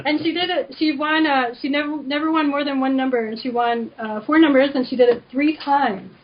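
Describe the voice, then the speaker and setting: Over noticeable background noise, a woman talks at a fairly quick pace with hardly any pauses. Her voice is high-pitched and her intonation fairly even. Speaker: energy healer, author. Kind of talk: radio interview. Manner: fast; casual, filler-heavy.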